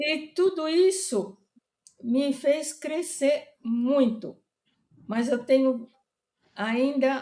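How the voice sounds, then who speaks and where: A woman talks at a very slow pace with long, frequent pauses. Her pitch is high, with ordinary pitch variation. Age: 80s+. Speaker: retired veterinary professor. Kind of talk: interview. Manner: halting.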